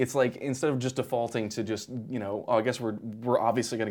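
The delivery comes at a very fast pace. The intonation stays monotone and flat. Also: man. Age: 20s. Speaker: podcast host. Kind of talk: casual chat.

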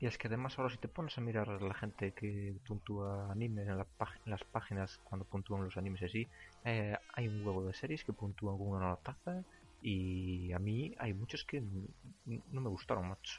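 A man's fairly low, somewhat breathy voice with a Galician accent and ordinary pitch variation. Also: moderate pace. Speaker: podcast host. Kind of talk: casual chat.

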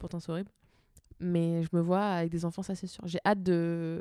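At a fairly slow pace, a woman with a medium-pitched, dark and mellow voice speaks over a silent background in a very clean recording. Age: 20s. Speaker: Instagram account author and podcast co-host. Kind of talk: casual chat. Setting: at home at night, Eiffel Tower view.

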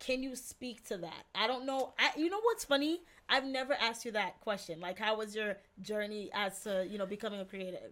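This woman has a normal speaking voice, pitched fairly high. She moves at a fairly quick pace with ordinary pitch variation. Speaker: podcast host. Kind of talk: casual interview chat.

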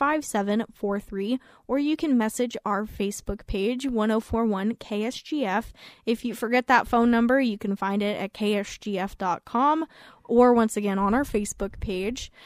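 A woman's fairly high voice at a very slow pace, dry and close with no echo, in a very clean recording with a silent background. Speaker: guest / radio co-host. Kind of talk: casual radio chat.

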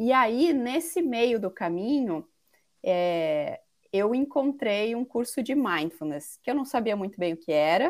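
The woman's speech unfolds very slowly. Her pitch rises and falls across a very wide range. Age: 40s. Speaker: mindfulness instructor. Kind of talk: interview. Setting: online call.

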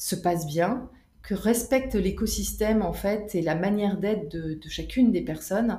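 A somewhat breathy woman speaks at a fairly slow pace in a dark, mellow tone. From Canada. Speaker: business coach. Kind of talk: interview. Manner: hesitant, many fillers.

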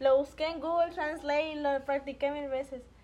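A woman talks at a moderate pace with fairly even intonation. Her pitch is high. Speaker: podcast guest. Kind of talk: casual chat.

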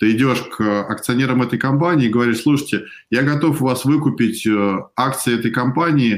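At a moderate pace and medium pitch, a man talks in an unremarkable speaking voice whose pitch variation is ordinary. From Russia. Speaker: venture investor. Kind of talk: interview on a live stream.

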